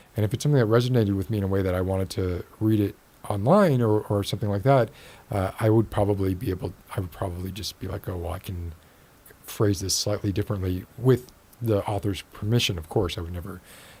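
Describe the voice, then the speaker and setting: A man with an American accent talks at a very fast pace in a fairly low pitch, his tone dark, mellow and somewhat breathy. His pitch varies in an ordinary way, and the recording is very clean with a silent background. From Miami, Florida. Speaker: podcast host. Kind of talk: casual chat.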